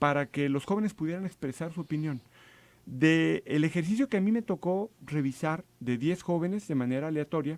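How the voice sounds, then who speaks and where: A man with a normal speaking voice, fairly high in pitch, at a fairly quick pace with lively intonation, in a dry, close sound with no echo on a very clean recording with a silent background. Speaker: government official. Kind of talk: radio interview.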